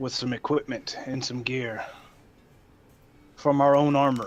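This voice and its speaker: This is a man doing a put-on character voice. His pitch sits in the medium range. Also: moderate pace. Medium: actual play. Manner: curt, cold, commanding.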